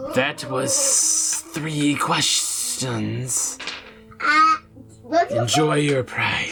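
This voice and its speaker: A man's put-on character voice, fairly high in pitch, very slow, with long, frequent pauses and loud background noise. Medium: actual play. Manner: slow, formal, third-person grandeur.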